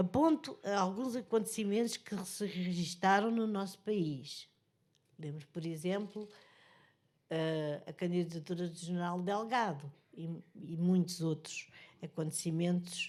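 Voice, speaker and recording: A woman speaks with a European Portuguese accent at a fairly slow pace. Her pitch is fairly low and varies in an ordinary way. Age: 80s+. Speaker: author and journalist. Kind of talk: book presentation speech. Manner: halting.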